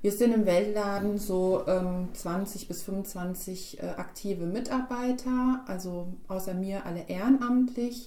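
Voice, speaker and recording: Speaking very slowly with hardly any pauses, a woman uses a medium pitch and ordinary pitch variation amid noticeable background noise. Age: 30s. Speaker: fair trade shop coordinator. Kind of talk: podcast interview.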